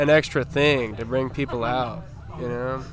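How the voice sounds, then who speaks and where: Moderate-paced talk from a man amid noticeable background noise. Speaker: punk band member. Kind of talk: interview answer.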